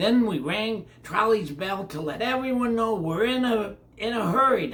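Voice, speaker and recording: A man uses a put-on character voice with a high pitch. His intonation is lively and his pace moderate. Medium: read story. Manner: kind, reassuring.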